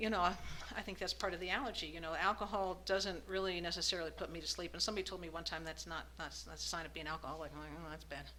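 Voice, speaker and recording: A woman speaks at a very fast pace with an American accent. Room echo is audible. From Arizona, US. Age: 60s. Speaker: recovering alcoholic speaker. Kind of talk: recovery meeting testimony. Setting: meeting room with audience. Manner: halting, with many fillers.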